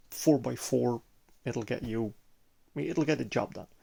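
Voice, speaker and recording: Speaking at medium pitch, a man talks with a Belgian accent. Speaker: sim gaming hobbyist. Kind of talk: casual walkthrough video. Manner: halting, many hesitations.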